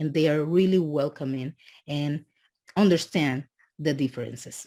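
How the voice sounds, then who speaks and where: A woman's very deep, low voice with a dark, mellow tone and a strong Dominican accent, on a very clean recording with a silent background. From Dominican Republic. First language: Spanish. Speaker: immigrant student. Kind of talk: podcast interview. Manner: halting.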